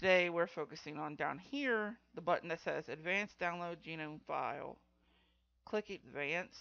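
A woman talks at a fairly slow pace with vocal fry and a fairly bright tone. Her pitch is low for a woman, with ordinary variation.

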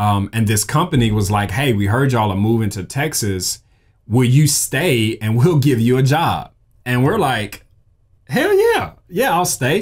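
A man with a Southern US accent speaks in an animated tone at a medium pitch and fairly slow pace, with a quiet background. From Mississippi, US South. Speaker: graphic designer and podcast host; creator. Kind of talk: casual solo talk. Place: studio.

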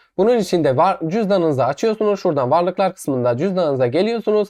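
Against a quiet background, the words come at a very fast pace. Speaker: YouTube crypto channel host. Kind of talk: screen-recorded tutorial.

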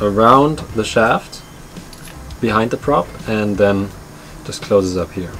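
A man with a plain, everyday voice and ordinary pitch variation, over light background noise. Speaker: sailing vlogger. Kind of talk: casual vlog chat. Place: boat.

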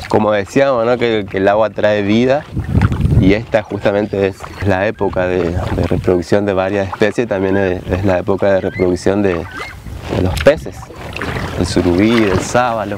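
A man's fairly even intonation with long, frequent pauses over noticeable background noise. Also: fairly low pitch for a man, fairly slow pace, dry sound with no echo. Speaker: kayak guide. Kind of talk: documentary interview talk. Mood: calm, thoughtful. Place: waterside.

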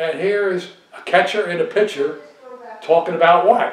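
The room echo is audible as a man talks at a moderate pace. His voice is high in pitch. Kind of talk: interview answer, storytelling. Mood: relaxed, nostalgic. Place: home room.

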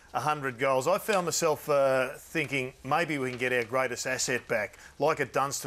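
With an Australian accent, a man talks using fairly even intonation. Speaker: football show host. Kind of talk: casual chat. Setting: studio. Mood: relaxed, conversational. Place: studio. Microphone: lapel.

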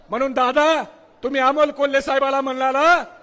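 A man with an extremely high pitch speaks in a bright, sharp tone with monotone, flat intonation. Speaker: political party speaker at a rally. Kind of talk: political rally speech. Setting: stage with audience. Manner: loud, fiery oratory.

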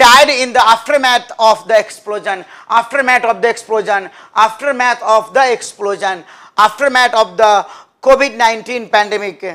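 A man speaks in a raised, projected voice at an extremely high pitch, with a bright, sharp tone and ordinary pitch variation. His pace is fairly slow, and the background is quiet. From India. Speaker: English teacher for competitive exams; english vocabulary teacher. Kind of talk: live online class. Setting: live stream. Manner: repetitive drilling of words. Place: classroom.

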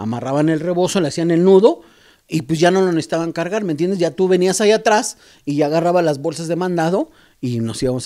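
A man with a high pitch and a dark, mellow tone speaks at a very fast pace against a quiet background. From Mexico, Oaxaca roots; Mexico. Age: middle-aged. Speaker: graffiti artist and airbrush painter; podcast guest. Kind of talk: casual interview. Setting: artist's studio. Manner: halting, many repetitions. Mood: reflective, warm storytelling. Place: garage. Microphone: handheld.

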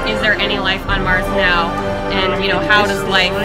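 Loud music plays in the background as a woman talks at a moderate pace. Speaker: exhibit guide. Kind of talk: explanation to a child. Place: hall. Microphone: phone near.

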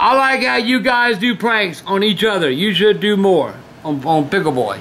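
A raised, projected voice swings very widely in pitch over light background noise. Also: man. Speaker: video host. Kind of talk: reading fan mail aloud. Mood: warm, amused. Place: home room.

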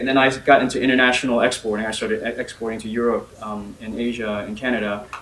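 A man with an American accent talks at a very fast pace with hardly any pauses, a monotone, flat intonation and big swings in loudness. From Northern Virginia, US, partly Bahamas. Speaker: tech company CEO; speaker. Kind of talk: personal story talk. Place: meeting room.

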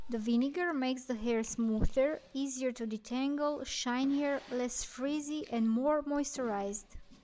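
A woman's high-pitched voice at a fairly slow pace, fairly even intonation, hardly any pauses, and noticeable background noise. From Romania. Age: 40s. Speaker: beauty and face massage content creator. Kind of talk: casual talk to camera, instructional.

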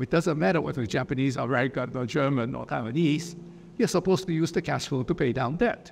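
Against light background noise, a man talks very fast at a fairly high pitch, with vocal fry and lively intonation. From Japan. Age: 60s. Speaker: economist; guest. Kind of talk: lecture. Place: studio. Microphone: lapel.

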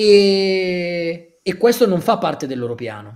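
A man's pitch swings very widely as he talks over a quiet background. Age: 30s. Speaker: author; guest. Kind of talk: interview. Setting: livestream. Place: home room. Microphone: earbuds.

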